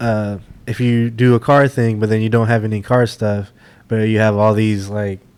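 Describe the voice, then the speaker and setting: A man speaks quietly in a flat monotone. His pitch is fairly low and his pace moderate. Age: 20s. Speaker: podcast co-host. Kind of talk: casual chat. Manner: laid back, quiet.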